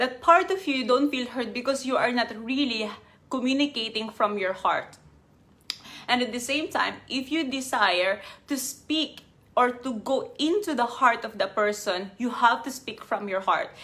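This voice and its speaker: A woman speaks at a fairly slow pace with a non-native accent. Her voice is high for a woman, with lively intonation. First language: not English. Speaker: life coach. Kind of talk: live stream talk.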